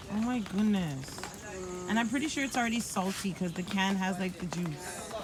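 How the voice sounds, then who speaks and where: A woman speaks at a medium pitch and a moderate pace with ordinary pitch variation. Audible room echo and noticeable background noise surround her. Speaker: vlogger. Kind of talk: casual vlog chat. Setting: outdoors camping. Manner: animated.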